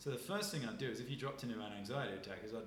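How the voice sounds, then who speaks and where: A man's very fast, lively-toned speech amid noticeable background noise. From southern England (Isle of Wight). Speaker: nervous system and breathwork expert. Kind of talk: casual interview chat.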